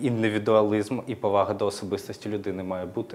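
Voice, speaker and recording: With fairly even intonation, a man talks fairly quickly in a fairly low pitch. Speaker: political scientist. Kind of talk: panel discussion. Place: studio. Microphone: lapel.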